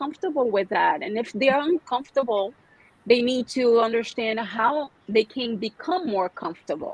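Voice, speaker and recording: The sound is dry and close with no echo, though there is noticeable background noise. A woman talks at a moderate pace in a high pitch. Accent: Brazilian Portuguese. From Brazil. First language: Portuguese. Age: 40s. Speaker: massage therapist and skincare specialist. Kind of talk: podcast interview. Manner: halting, many fillers and restarts.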